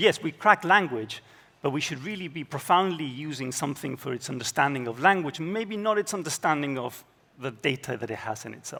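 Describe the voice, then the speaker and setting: A man talks at a very fast pace with a Spanish accent. His tone is bright and sharp, with lively intonation. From Spain. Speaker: data scientist. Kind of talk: conference keynote.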